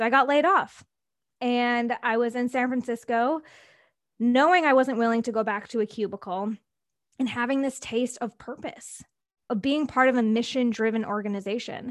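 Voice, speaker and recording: Her pitch is high, with ordinary variation. The woman is heard in a very clean recording against a silent background. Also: moderate pace. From Wisconsin, US Midwest. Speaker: business coach. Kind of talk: interview.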